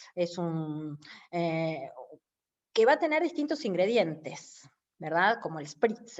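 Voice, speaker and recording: A woman with a Rioplatense accent speaks at a moderate pace in a fairly low voice. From Uruguay. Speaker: lecturer. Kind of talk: lecture.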